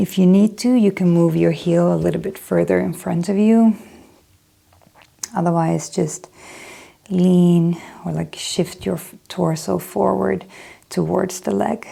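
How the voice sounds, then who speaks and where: In a calm tone, a woman speaks with a Swedish accent at a fairly slow pace. She leaves long, frequent pauses. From Sweden. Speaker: yoga instructor. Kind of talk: guided yoga class. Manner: calm instructive; occasionally searching for words.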